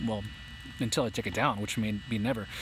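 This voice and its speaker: A man with a medium pitch talks at a very fast pace. His voice is somewhat breathy. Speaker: drone YouTuber. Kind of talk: live stream chat. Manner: halting.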